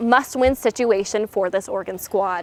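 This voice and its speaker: A woman talks with an American accent. Her pace is moderate and her pitch variation ordinary. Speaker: college sports reporter and anchor. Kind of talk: recorded game recap voiceover. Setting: studio and broadcast.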